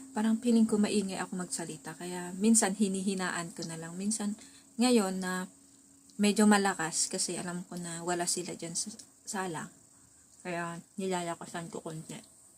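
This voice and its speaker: Somewhat breathy and medium in pitch, a woman talks at a moderate pace with fairly even intonation. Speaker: vlogger. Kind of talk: casual vlog monologue. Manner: soft-spoken at times, quieter when others are home.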